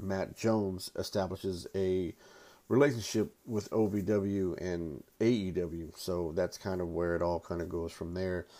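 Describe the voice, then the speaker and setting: A man's very deep, low voice with a dark, mellow tone and fairly even intonation, on a very clean recording with a silent background. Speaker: podcast host. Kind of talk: wrestling-announcer-style intro, then casual review chat. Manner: theatrical, booming ring-announcer delivery in the opener; casual, rambling with frequent filler words.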